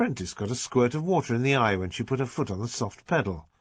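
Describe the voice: Lively intonation over plain reading aloud.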